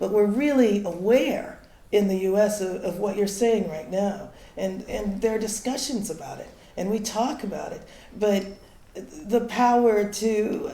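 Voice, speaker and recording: A woman speaks at a fairly slow pace and medium pitch, with ordinary pitch variation and big swings in loudness. Noticeable background noise and audible room echo fill the recording. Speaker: academic in audience. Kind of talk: audience comment at conference. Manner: quiet.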